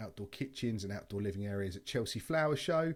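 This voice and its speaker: Fairly quick speech with a British accent and ordinary pitch variation. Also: man, very clean recording, silent background. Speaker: outdoor kitchen supplier. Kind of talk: presentation. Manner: fast.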